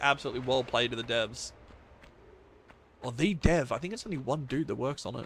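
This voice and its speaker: This man talks with an Australian accent at a fairly quick pace. His pitch is medium, with ordinary pitch variation. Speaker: video game streamer. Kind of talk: casual chat. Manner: halting.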